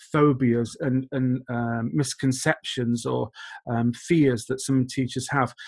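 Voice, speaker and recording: Fairly even intonation marks this man's speech. The background is quiet. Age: 40s. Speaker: teacher trainer. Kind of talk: conference presentation. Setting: video call. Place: home room. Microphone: webcam.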